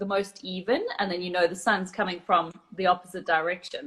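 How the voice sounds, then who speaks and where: A woman with a South African accent speaks at a moderate pace. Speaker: photographer. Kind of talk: casual interview. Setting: live video call.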